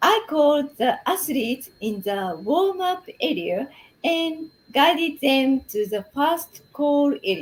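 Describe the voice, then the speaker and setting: A woman's high voice with a Japanese accent, very slow, with very wide pitch swings. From Japan, Shimane Prefecture. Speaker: English program participant. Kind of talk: interview. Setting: live stream.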